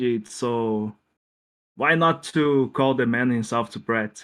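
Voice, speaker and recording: A man with a non-native accent talks at a very slow pace, his medium pitch showing ordinary variation. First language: not English. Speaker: speedrun tournament winner. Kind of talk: post-match interview. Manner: halting.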